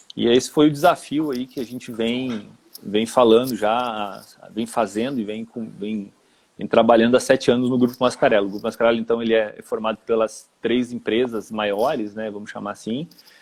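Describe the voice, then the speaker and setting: A man with a Rio Grande do Sul accent, medium pitch, fairly even intonation, moderate pace, and big swings in loudness. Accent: gaúcho (Rio Grande do Sul) Portuguese. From Rio Grande do Sul, southern Brazil. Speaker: HR manager. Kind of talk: live-stream interview. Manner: hesitant, with repetitions.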